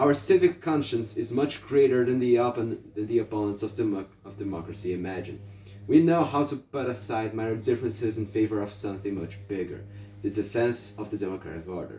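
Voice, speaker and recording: Speaking with a Portuguese accent, a man talks at a fairly quick pace and a fairly low pitch, with ordinary pitch variation and big swings in loudness. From Brazil. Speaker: political activist. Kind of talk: reading aloud. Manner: halting, frequent self-corrections.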